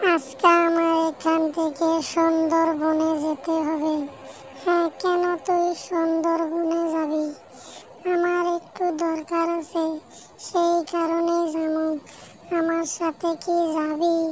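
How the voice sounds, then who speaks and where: An extremely high cartoonish character voice, monotone and flat, at a very slow pace over clear background noise. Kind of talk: folk tale cartoon voicing.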